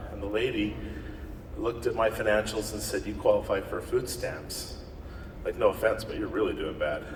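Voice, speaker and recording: A man speaks at a moderate pace with an American accent. Noticeable background noise sits behind him. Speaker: network marketing distributor. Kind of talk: motivational talk. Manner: loud; animated.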